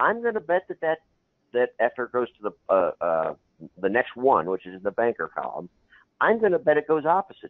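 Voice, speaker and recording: Moving at a fairly quick pace, a man shows big swings in loudness and leaves long, frequent pauses. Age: 60s. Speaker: baccarat strategy teacher. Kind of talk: tutorial. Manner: halting.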